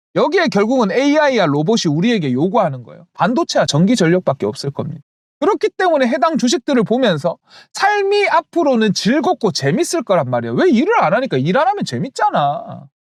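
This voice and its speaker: With a strong Gyeongsang accent, a man talks at a fairly quick pace in an extremely high pitch with very wide pitch swings, the sound dry and close with no echo. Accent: thick Gyeongsang (Daegu) dialect. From South Korea, Daegu. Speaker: stock market YouTuber. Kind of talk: investment advice monologue. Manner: animated.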